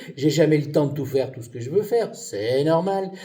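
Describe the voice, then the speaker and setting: At a fairly quick pace, a man talks in a fairly high, somewhat breathy voice with a dark, mellow tone and lively intonation. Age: 70s. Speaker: retired pharmacist, game show applicant. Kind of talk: self-presentation video. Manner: hesitant.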